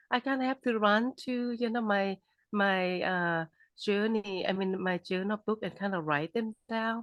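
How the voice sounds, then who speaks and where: A woman with a Thai accent speaks at a medium pitch and a fairly slow pace, with ordinary pitch variation. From Thailand. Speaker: author. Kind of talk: interview. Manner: halting.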